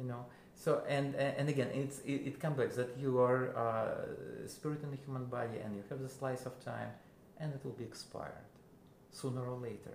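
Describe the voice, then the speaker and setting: With a Russian accent, a man speaks at a moderate pace and medium pitch in a monotone, flat intonation, amid noticeable background noise and audible room echo. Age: 50s. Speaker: musician. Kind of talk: interview. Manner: halting.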